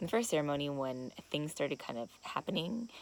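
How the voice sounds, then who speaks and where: A woman speaks quietly. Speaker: vlogger at ayahuasca retreat. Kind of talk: confessional video diary. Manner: quiet, talking low; halting, many fillers.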